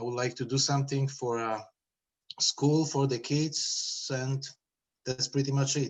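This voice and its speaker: A man with a Polish accent speaks at a fairly slow pace with long, frequent pauses. His fairly high voice is somewhat breathy and monotone, with flat intonation. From Poland. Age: 30s. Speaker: school committee candidate. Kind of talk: public meeting interview. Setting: video call. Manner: halting.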